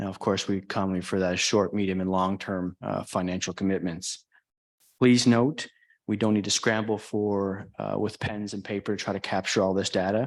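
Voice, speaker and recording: Against a quiet background, a man with a fairly low pitch speaks at a moderate pace with fairly even intonation. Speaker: town chief administrative officer. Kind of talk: council presentation. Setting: council chamber meeting. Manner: monotone; formal.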